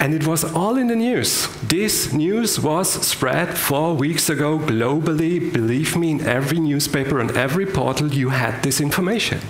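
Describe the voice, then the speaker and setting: A man with a German accent, fairly high in pitch, lively in intonation and very even in loudness, at a moderate pace, with audible room echo and light background noise. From Germany. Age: 50s. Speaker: business innovator. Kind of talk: keynote speech. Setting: stage with audience. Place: hall.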